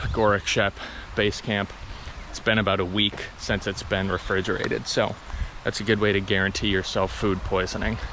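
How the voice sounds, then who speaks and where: Over noticeable background noise, a man speaks in a fairly low pitch. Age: 20s. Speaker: hiking vlogger. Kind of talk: casual vlog monologue. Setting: outdoors on a hiking trail.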